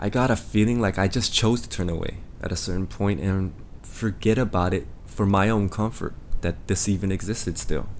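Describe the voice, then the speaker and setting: With an American accent, a man speaks in a plain, everyday voice at a fairly low pitch, moderate pace and ordinary pitch variation. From Los Angeles, US. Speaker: podcast host, K-pop industry figure. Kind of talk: solo podcast monologue.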